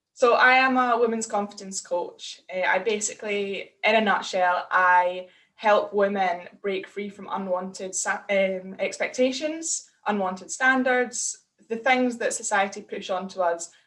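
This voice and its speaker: In a Scottish accent, a woman speaks at a fairly slow pace with hardly any pauses. Her pitch is medium, with ordinary variation. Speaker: women's confidence coach. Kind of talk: casual interview.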